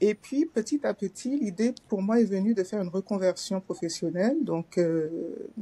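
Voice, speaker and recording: A woman with a medium pitch talks at a moderate pace with hardly any pauses and lively intonation. Her tone is dark, mellow and somewhat breathy, captured with a dry, close sound and no echo. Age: 60s. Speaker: former civil servant training as finance coach. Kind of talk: testimony. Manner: hesitant, many fillers.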